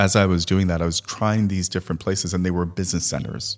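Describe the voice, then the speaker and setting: The intonation stays fairly even. The recording is very clean, with a silent background. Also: man. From Trinidad. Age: 40s. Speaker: entrepreneur. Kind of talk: casual interview chat. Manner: jokey, laughs often.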